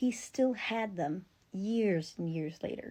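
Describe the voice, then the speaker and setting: A woman's dark, mellow voice, somewhat breathy. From rural area. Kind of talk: casual storytelling to camera.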